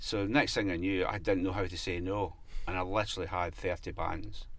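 A man's fairly even voice with audible room echo. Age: 50s. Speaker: music promoter and artist manager. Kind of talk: interview.

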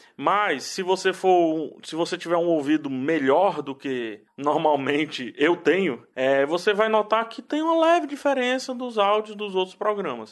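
A man speaks at a high pitch with very wide pitch swings, at a fairly slow pace with hardly any pauses. The background is quiet. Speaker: podcast host.

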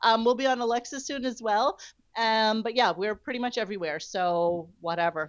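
A woman with an American accent uses a normal speaking voice, fairly high in pitch, with lively intonation at a moderate pace. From New York. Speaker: radio news website owner. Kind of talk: casual chat.

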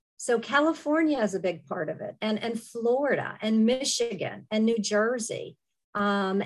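Woman with an American accent and an ordinary speaking voice, fairly high pitch, ordinary pitch variation, fairly slow pace, quiet background. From Western Pennsylvania. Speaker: leadership program director. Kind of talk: panel discussion.

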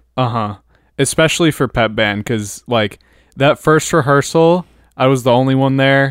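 A man speaks at a medium pitch. He has an ordinary speaking voice. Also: very clean recording, silent background. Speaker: podcast co-host, college drummer. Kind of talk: casual chat.

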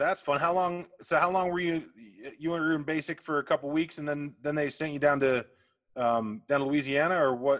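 Speaking at a moderate pace with fairly even intonation, this is an unremarkable speaking voice. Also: man, fairly high pitch for a man. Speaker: podcast host. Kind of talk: casual interview. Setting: video call.

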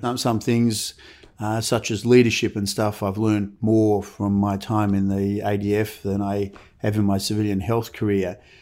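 A man with an Australian accent, a fairly low pitch and a dark, mellow tone. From Melbourne, Australia. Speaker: orthopedic surgeon. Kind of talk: interview.

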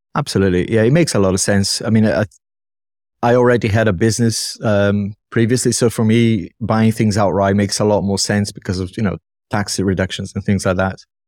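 A man with a non-native accent speaks at a fairly quick pace in a fairly low pitch. His intonation stays fairly even, and the recording is very clean with a silent background. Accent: dodgy accent, non-native. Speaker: YouTube tech reviewer. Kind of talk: casual chat.

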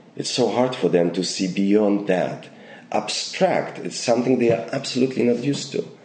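Recorded with audible room echo, a man with a Polish accent speaks at a medium pitch with lively intonation. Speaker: actor and acting teacher. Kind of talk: interview.

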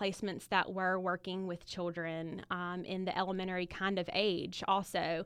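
Her medium-pitched voice carries a Southern US accent as this woman speaks at a fairly slow pace. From Alabama (Montgomery). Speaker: speech-language pathologist, teacher. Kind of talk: interview.

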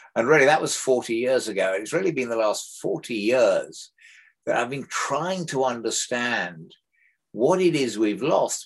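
A man at medium pitch, talking at a fairly slow pace. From Africa. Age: 70s. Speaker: author and explorer.

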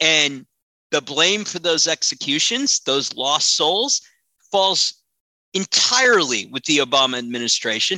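Very wide pitch swings mark this man's bright, sharp voice, fairly high in pitch, with an American accent at a fairly slow pace. The recording is very clean, with a silent background and a dry, close sound with no echo. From Washington, D.C. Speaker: crisis manager and PR consultant. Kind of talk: interview.

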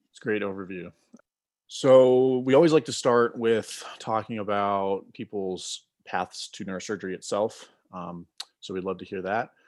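Here is a man with a plain, everyday voice, fairly low in pitch, with ordinary pitch variation. He speaks at a moderate pace in a very clean recording with a silent background. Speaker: podcast co-host, medical student. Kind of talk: podcast interview.

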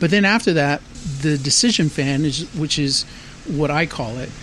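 A man talks in an American accent, and noticeable background noise can be heard. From San Antonio, Texas. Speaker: artist. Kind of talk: interview. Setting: outdoors.

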